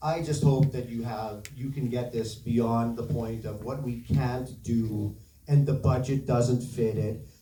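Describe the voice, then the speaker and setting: In a room with audible echo, a man talks at a fairly slow pace with a medium-pitched, somewhat breathy voice, a dark, mellow tone and fairly even intonation. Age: 60s. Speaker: bereaved parent speaking at town hall. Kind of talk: public testimony.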